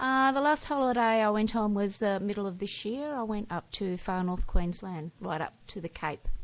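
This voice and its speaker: In a very clean recording with a silent background, a woman speaks at a moderate pace and medium pitch, with lively intonation and hardly any pauses. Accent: Australian. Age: 60s. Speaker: teacher. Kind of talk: interview. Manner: brief answers.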